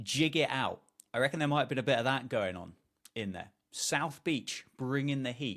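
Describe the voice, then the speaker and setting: Delivered with a British accent, the speech moves at a moderate pace. Pitch variation is ordinary. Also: man, medium pitch for a man. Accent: British, remarked by self. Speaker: podcast co-host. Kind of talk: casual chat.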